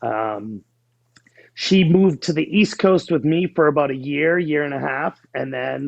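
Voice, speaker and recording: This man has a fairly high-pitched voice with ordinary pitch variation. He speaks with a Boston accent. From New England (New Hampshire near Boston). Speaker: life coach. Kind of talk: interview.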